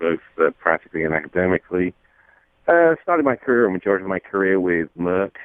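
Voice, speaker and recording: With a British accent, a man talks very fast in a very deep, low voice. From England (London). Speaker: company CEO. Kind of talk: radio interview.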